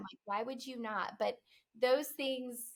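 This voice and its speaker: A woman with an unremarkable speaking voice and fairly high pitch talks at a moderate pace on a very clean recording with a silent background. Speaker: promotional products salesperson. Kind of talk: interview.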